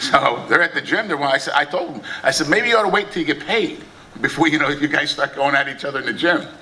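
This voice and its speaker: A man with an American accent talks at a very fast pace and a high pitch, using lively intonation. Noticeable background noise runs underneath. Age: 60s. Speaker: boxing promoter. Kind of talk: press conference speech. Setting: press conference.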